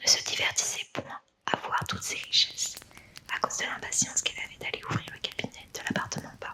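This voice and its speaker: A fairly quick whisper against noticeable background noise. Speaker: storyteller. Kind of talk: bedtime story reading. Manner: whispered.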